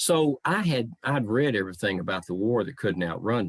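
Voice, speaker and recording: In a Southern accent, a man talks at a fairly slow pace with lively intonation, the sound dry and close with no echo. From US South, Memphis, Tennessee. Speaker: living historian. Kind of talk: talk to online audience. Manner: measured phrasing.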